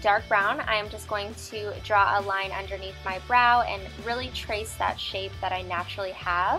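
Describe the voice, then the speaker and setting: A woman is talking at a moderate pace. Background music can be heard. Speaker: beauty vlogger. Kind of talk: makeup tutorial narration.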